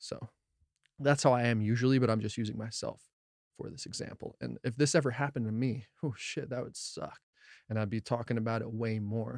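In an unremarkable speaking voice, a man speaks fairly quickly with fairly even intonation and a medium pitch. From New Jersey. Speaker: cannabis podcast host. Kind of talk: casual podcast monologue; reading articles aloud.

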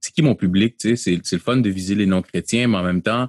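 Fairly low-pitched, a man speaks at a moderate pace with ordinary pitch variation, in a dry, close sound with no echo. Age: 30s. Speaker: pastor and slam poet. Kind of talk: interview. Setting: video call.

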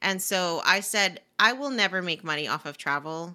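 A bright, sharp tone at a fairly slow pace on a very clean recording with a silent background. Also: woman. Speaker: personal finance educator and business coach. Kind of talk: casual interview chat.

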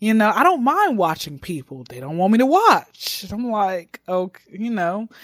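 Her pitch medium overall, a woman speaks at a moderate pace with very wide pitch swings and big swings in loudness. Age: 20s. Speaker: stand-up comedian. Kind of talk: casual interview chat.

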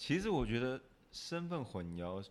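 A man talks fairly slowly, his intonation lively. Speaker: podcast co-host. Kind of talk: casual chat.

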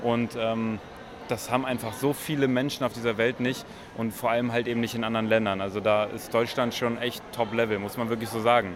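Speaking fairly quickly in a flat monotone, a man with a medium-pitched voice is heard over noticeable background noise. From northern Germany. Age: 20s. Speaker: podcaster. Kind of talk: casual chat. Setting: subway station and train.

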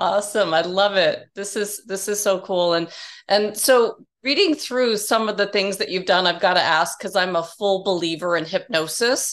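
A woman speaks at a moderate pace. Her pitch sits in the middle range. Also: ordinary pitch variation. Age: 50s. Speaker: podcast host and educator. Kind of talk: interview. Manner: animated.

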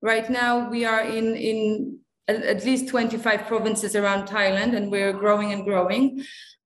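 Audible room echo surrounds a woman speaking at a fairly slow pace, her fairly high pitch held in a monotone, flat intonation. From Singapore, Polish family. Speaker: veterinarian at an animal welfare charity. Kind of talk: interview. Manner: halting, with fillers and repeats.

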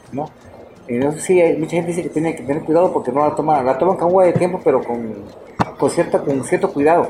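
Very fast male speech at a fairly high pitch, with ordinary pitch variation and noticeable background noise. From Putla Villa de Guerrero, Oaxaca, Mexico. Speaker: cook and restaurant owner. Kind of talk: interview, casual chat. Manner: halting, repetitive.

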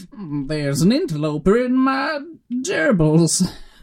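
Pitched in the middle range, a put-on character voice moves at a fairly slow pace with very wide pitch swings. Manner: unhinged, menacing.

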